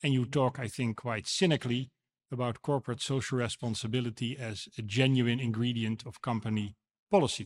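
Talking at a fairly quick pace with a Dutch accent, a man keeps a medium pitch and fairly even intonation, the sound dry and close with no echo. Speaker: moderator and council chairman. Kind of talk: debate rebuttal. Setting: stage with audience.

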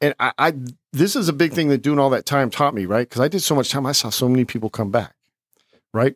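A man with an American accent speaks at a fairly quick pace in a fairly high pitch. His pitch varies in an ordinary way, and the sound is dry and close with no echo. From California, military family moving often. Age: 50s. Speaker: ex-convict filmmaker and author. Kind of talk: casual interview. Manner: halting, many fillers.

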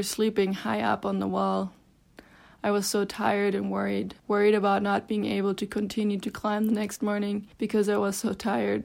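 The recording is very clean with a silent background. A woman with a German accent speaks at a moderate pace. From Germany, Berlin. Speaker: climber and mountain guide. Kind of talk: reading aloud.

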